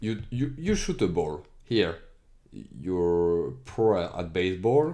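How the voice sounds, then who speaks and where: In a very deep, low pitch with a dark, mellow tone, a man with a non-native accent speaks at a very slow pace amid audible room echo. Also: lively intonation. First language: not English. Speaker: educational streamer. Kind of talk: tutorial. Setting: screen recording. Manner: halting.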